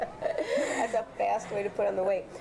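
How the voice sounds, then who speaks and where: Noticeable background noise fills the recording. Through it, a woman talks with an American accent. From US Midwest, Chicago. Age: 60s. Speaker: health and wellness teacher. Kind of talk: interview.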